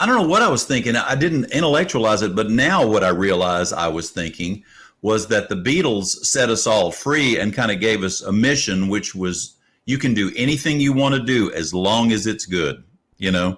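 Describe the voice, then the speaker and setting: In a normal speaking voice, a man with a fairly low pitch talks at a moderate pace with lively intonation. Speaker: musician and radio host. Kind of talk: casual interview chat. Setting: video call.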